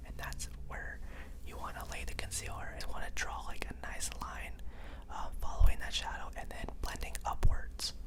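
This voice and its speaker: A man whispers at a moderate pace, with big swings in loudness. Noticeable background noise is present. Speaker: makeup school student and brand ambassador. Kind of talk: ASMR makeup tutorial. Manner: whispered, soft-spoken.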